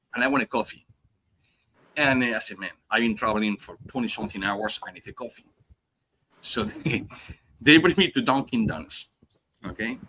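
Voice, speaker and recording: Speaking at a fairly quick pace with a strong Spanish accent, a man with a medium pitch and a bright, sharp tone uses lively intonation, long, frequent pauses and big swings in loudness. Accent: heavy Spanish. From Spain. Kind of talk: casual chat. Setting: live podcast stream.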